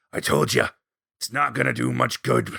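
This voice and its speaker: In a put-on character voice, a man speaks raspy and very deep at a moderate pace, recorded dry and close with no echo. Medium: actual play.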